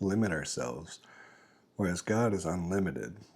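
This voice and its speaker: The speaker is soft-spoken, with a calm, gentle tone and ordinary pitch variation. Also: man. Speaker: father. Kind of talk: casual talk to camera. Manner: slow, reflective.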